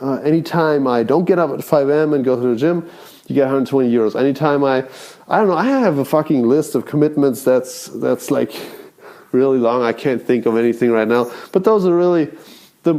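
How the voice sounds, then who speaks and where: At a fairly quick pace, a man talks in a fairly high pitch with a dark, mellow tone. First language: not English. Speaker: self-improvement vlogger. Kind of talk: casual monologue. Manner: rambling, halting.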